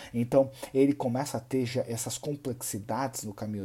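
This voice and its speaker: A man talks at a fairly quick pace in a somewhat breathy voice with a dark, mellow tone. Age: 30s. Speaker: personal finance content creator. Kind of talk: monologue to camera.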